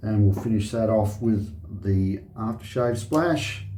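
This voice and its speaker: With an Australian accent, a man speaks in a relaxed tone at a fairly low pitch and a fairly slow pace, with audible room echo. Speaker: shaving video host. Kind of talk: casual tutorial. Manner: relaxed, hesitant.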